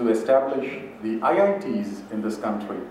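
Light background noise and audible room echo around a man's voice. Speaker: speaker. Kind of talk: lecture. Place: hall. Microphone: podium.

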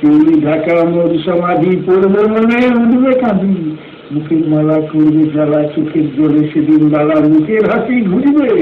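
A man with a high voice talks while noticeable noise fills the background. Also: ordinary pitch variation. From India, West Bengal. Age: 50s. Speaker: teacher, drama director, orator. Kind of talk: poetry reading.

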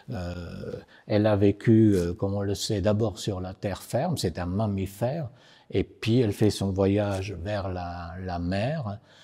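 In an Italian accent, a man speaks at a very slow pace in a fairly low pitch with a dark, mellow tone and ordinary pitch variation, against a quiet background. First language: Italian (speaking French). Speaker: poet and novelist; poet. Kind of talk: short filmed explanation. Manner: hesitant, many filler sounds. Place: studio.

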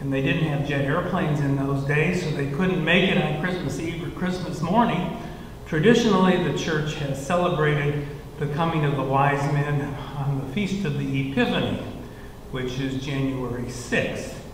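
A man speaks at a moderate pace with ordinary pitch variation. Light background noise and audible room echo can be heard. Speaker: church minister or leader. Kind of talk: children's sermon style explanation. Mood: warm, gentle. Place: church. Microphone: headset.

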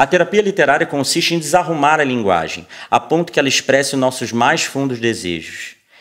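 A man speaks with a Brazilian accent. His pace is fairly quick and his intonation lively. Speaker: poetry reader. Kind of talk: poetry reading aloud, quoting lines from a book. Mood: calm, reflective, soft. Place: studio.

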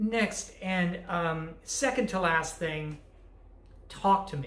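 Audible room echo is present. The speaker is a woman. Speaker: college instructor. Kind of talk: course introduction talk. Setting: recorded online lecture video. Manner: casual, with many fillers. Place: home room. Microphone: webcam.

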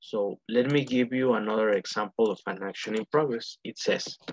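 The speech moves at a moderate pace. The sound is dry, with no echo. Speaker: English teacher. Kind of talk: online lesson explanation. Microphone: video call.

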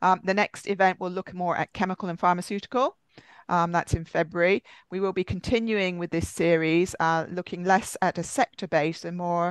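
A voice at a moderate pace with fairly even intonation, recorded dry with no echo against a quiet background. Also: woman. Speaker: webinar moderator. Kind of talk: webinar moderation. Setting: video call. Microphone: video call.

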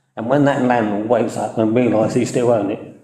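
In a room with audible echo, a man speaks fairly quickly at a medium pitch with monotone, flat intonation. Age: 70s. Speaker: town councillor. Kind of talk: council meeting discussion. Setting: council chamber meeting, livestreamed.

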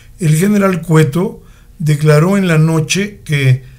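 A somewhat breathy man's voice at a fairly slow pace, with ordinary pitch variation. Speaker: radio chronicle narrator. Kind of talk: radio chronicle narration, historical news-style reading. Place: studio.

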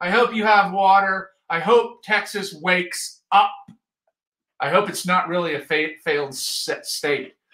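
A man's raised, projected voice, bright and sharp in tone, with lively intonation at a very slow pace, over a quiet background with audible room echo. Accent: American. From Utah (Ogden). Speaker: photography teacher and show host. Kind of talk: live-streamed tutorial. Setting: live video stream. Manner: animated.

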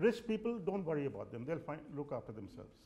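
Very fast speech comes from a man with a dark, mellow tone. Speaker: guest lecturer. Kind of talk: lecture. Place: classroom.

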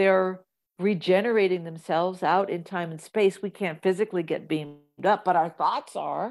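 An ordinary speaking voice from a woman with an American accent, medium in pitch, with fairly even intonation at a moderate pace on a very clean recording with a silent background. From US Midwest. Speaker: actress and comedian. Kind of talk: casual interview.

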